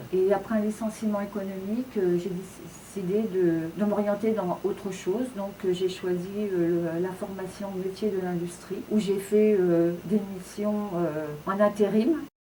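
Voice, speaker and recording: A woman's medium-pitched voice at a very slow pace, with hardly any pauses, fairly even intonation, and noticeable background noise. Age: 60s. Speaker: job seeker. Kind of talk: testimony. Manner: halting, many hesitations and repetitions.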